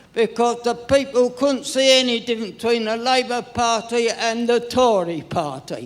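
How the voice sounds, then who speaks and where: A man's extremely high voice at a fairly slow pace, with crowd noise behind him. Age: 90s. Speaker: audience member at a party conference. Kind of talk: impassioned public comment. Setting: conference hall with audience.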